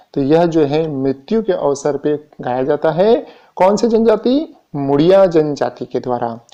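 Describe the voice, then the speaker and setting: A man with a fairly high voice and a dark, mellow tone speaks with lively intonation. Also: quiet background. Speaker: exam-prep teacher. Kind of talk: exam revision lecture.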